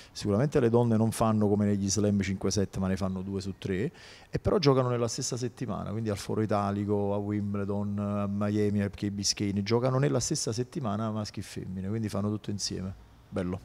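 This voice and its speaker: A man's fairly low, dark and mellow voice with fairly even intonation and a fairly quick pace. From Naples area, Italy (Casoria); Italy. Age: 40s. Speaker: tennis coach. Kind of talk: interview. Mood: relaxed, warm. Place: studio. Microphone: handheld.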